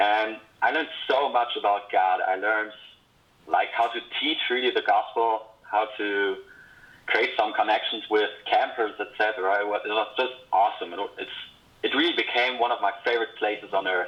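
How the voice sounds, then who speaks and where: A man with a Swiss accent at a moderate pace. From Switzerland. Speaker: former camp counselor. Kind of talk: casual video greeting.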